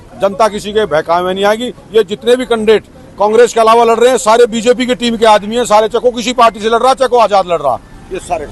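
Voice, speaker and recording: Over crowd noise in the background, a man speaks at a high pitch with ordinary pitch variation. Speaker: local party worker and wrestler. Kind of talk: campaign interview.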